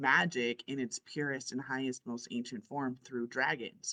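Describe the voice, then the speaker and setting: With a very deep, low pitch and a bright, sharp tone, a woman speaks at a moderate pace in an animated way. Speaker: spiritual coach and show host. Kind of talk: casual chat. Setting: outdoors.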